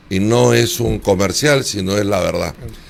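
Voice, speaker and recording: Amid noticeable background noise, a man speaks at a fairly low pitch with lively intonation. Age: 70s. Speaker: former congressional candidate. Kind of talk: interview.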